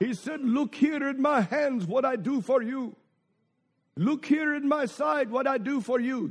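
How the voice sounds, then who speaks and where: Against a quiet background, a man speaks with an extremely high pitch. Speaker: visiting preacher. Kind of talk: sermon. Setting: church with congregation. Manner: humorous, exhorting the congregation.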